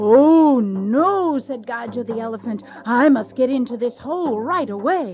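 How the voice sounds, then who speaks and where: A woman puts on a character voice at a high pitch, speaking at a moderate pace. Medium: read story.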